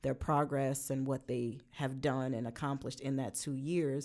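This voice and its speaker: In a Brooklyn accent, a woman speaks with a dark, mellow tone and a very deep, low pitch. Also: very clean recording, silent background. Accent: New York (Brooklyn). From Brooklyn, New York. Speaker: podcast co-host, youth justice worker. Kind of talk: casual chat.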